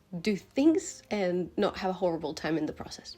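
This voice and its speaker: A woman talks at a very fast pace with lively intonation. Her pitch is medium, and noticeable background noise is present. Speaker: vlogger and aspiring writer. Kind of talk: casual talking-head vlog. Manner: chatty, animated.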